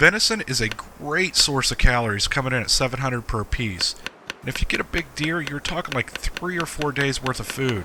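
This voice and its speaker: Over noticeable background noise, a man speaks at medium pitch with lively intonation. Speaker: gaming video creator. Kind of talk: game tutorial narration. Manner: casual, jokey; whispering for drama.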